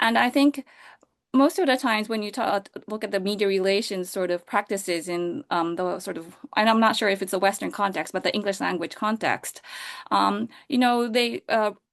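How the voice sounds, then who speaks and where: A woman with a Japanese accent speaks at a moderate pace and medium pitch. Her pitch variation is ordinary, and the background is quiet. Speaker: science communication and public relations director. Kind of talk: panel discussion. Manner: halting, many fillers.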